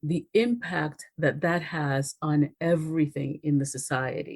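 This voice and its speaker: A woman with a Spanish accent speaks in a very deep, low pitch with fairly even intonation. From Dominican Republic, moved to US at ten. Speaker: race relations expert. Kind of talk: podcast interview.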